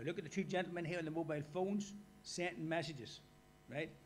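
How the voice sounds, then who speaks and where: This speaker has an Irish accent and talks very fast. The pitch varies in an ordinary way. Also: man. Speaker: workshop speaker. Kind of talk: lecture.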